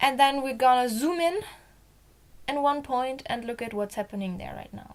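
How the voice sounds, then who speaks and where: A woman with a German accent, high-pitched, her loudness swinging widely. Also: ordinary pitch variation, moderate pace. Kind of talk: casual Bible reading and commentary to camera. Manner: upbeat.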